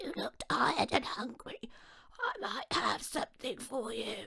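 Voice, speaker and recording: This is a put-on character voice, female-sounding, raspy and croaky at a high pitch. It moves at a moderate pace. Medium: read story.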